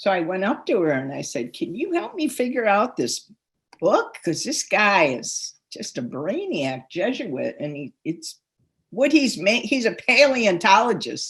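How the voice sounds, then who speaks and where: Her medium-pitched voice shows vocal fry and very wide pitch swings. The woman speaks at a fairly slow pace. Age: 70s. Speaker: author. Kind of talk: interview.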